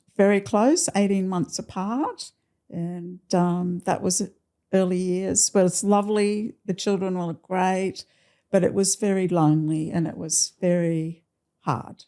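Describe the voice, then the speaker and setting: A woman with an Australian accent speaks at a medium pitch and a fairly slow pace. Her intonation is fairly even, and the recording is very clean with a silent background. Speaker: nurse. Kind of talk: podcast interview answer. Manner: casual, conversational.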